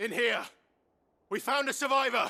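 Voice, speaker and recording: At a moderate pace, a man performs a put-on character voice pitched extremely high. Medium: video game. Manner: low, restrained.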